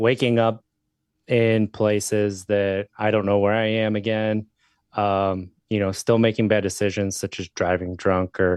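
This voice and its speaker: A man with an American accent speaks at a fairly slow pace, his fairly low pitch held in a monotone, flat intonation. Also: dry, close sound with no echo, quiet background. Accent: slight Wisconsin accent, comes and goes. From Wisconsin. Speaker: podcast host, sobriety advocate. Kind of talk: interview, personal recovery story.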